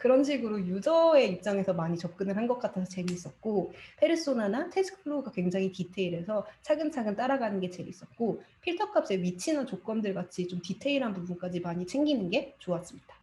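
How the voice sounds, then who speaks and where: Over noticeable background noise, a woman of medium pitch talks at a fairly quick pace with hardly any pauses and very wide pitch swings. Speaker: study group presenter, digital marketer. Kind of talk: presentation. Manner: fast.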